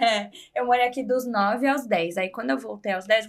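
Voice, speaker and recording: With an ordinary speaking voice, a woman talks at a moderate pace, her fairly high pitch showing ordinary pitch variation. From Brazil, Guarulhos, São Paulo; partly raised in Florida. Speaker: podcast guest. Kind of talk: casual interview chat.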